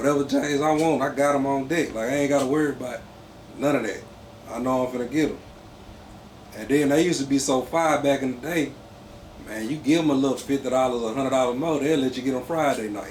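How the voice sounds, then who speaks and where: A man with a Mississippi accent speaks at a very fast pace and a fairly high pitch, his intonation fairly even. Noticeable background noise and audible room echo fill the recording. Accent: Mississippi country. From Mississippi Gulf Coast, US South. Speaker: clothing brand founder. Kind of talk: casual interview.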